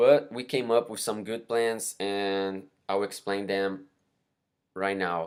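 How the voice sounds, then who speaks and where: With a Brazilian Portuguese accent, a man speaks at a very slow pace and fairly low pitch in a very clean recording with a silent background. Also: fairly even intonation. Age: 20s. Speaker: university student. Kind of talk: class presentation. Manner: halting, many fillers.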